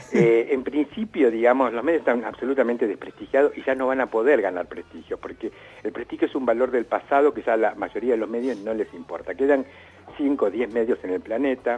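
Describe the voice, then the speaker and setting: This man speaks at a fairly quick pace in a medium pitch with ordinary pitch variation. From Argentina. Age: 60s. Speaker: writer and art critic. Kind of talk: interview. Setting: remote call.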